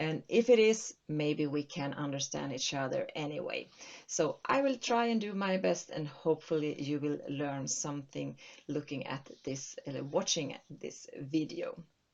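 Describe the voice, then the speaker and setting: A woman speaks at a fairly slow pace in a Swedish accent, her pitch very deep and low. Her intonation is lively. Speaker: accounting consultant. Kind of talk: tutorial. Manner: halting.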